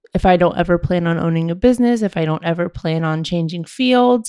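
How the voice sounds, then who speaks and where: On a very clean recording with a silent background, a woman talks at a moderate pace. Her pitch is fairly low, with ordinary variation. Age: 30s. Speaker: entrepreneur podcast host. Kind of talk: casual talk to listeners. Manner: giggly.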